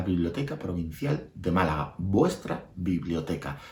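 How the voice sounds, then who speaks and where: At a moderate pace, a man speaks with a fairly low pitch and very wide pitch swings. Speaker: storyteller. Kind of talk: casual talk to camera. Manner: upbeat.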